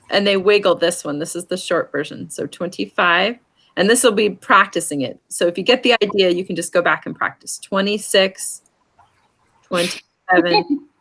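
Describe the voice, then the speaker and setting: With an unremarkable speaking voice, this woman keeps to a medium pitch, a moderate tempo and ordinary rises and falls in pitch. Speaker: sign language teacher. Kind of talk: lesson.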